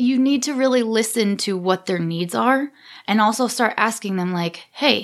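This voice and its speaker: In an ordinary speaking voice, a woman talks at a fairly slow pace with a fairly high pitch and lively intonation. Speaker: senior care technology trainer. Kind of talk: casual interview chat.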